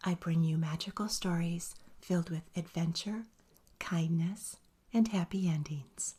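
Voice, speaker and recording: A soft-spoken, somewhat breathy voice with a dark, mellow, soothing tone at a fairly slow pace. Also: woman. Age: old. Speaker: storyteller. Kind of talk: friendly channel intro. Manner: soft-spoken, soothing.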